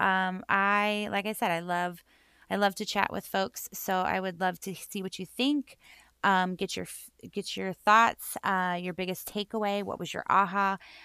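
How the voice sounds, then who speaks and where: This loud voice has a bubbly, bright and sharp tone at a fairly slow pace. The recording is very clean with a silent background, dry and close with no echo. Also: woman, medium pitch for a woman. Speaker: self-love and mindset coach, podcast host. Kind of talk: solo podcast monologue. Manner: loud and bubbly; rambling with many fillers.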